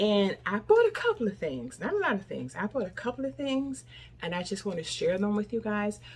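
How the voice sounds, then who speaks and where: Somewhat breathy and medium in pitch, a woman talks at a fairly quick pace with very wide pitch swings. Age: 60s. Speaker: lifestyle vlogger. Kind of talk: casual vlog talk.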